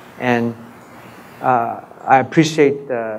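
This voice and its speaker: A medium-pitched male voice amid noticeable background noise. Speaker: radiation oncologist. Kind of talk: conference talk. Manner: loud.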